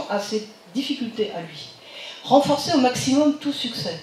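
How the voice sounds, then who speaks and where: A woman speaks with lively intonation amid audible room echo and noticeable background noise. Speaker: psychiatrist and professor. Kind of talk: lecture.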